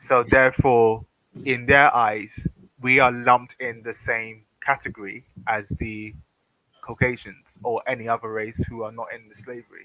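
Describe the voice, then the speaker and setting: With a British accent, a man talks at a moderate pace and medium pitch in a monotone, flat way, his loudness swinging widely. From Britain. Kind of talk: casual chat. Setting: livestream voice call without webcam. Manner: halting, many fillers.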